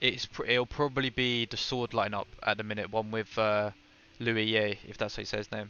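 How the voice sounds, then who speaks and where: A man with a British accent speaks in a fairly low pitch with monotone, flat intonation. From Britain. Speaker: gaming streamer. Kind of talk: live stream gameplay commentary with chat. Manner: fast; casual.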